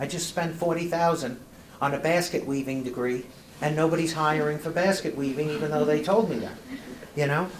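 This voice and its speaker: A man with a New York accent talks at a fairly quick pace and fairly high pitch with ordinary pitch variation, amid noticeable background noise and audible room echo. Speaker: presenter on youth substance prevention. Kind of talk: presentation. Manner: animated.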